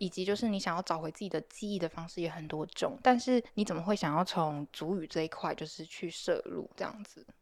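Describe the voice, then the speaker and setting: A woman with a plain, everyday voice speaks at a fairly quick pace in a fairly low pitch, with hardly any pauses. Her pitch varies in an ordinary way, her loudness swings widely, and the recording is very clean with a silent background. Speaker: podcast producer and host. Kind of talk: casual interview chat.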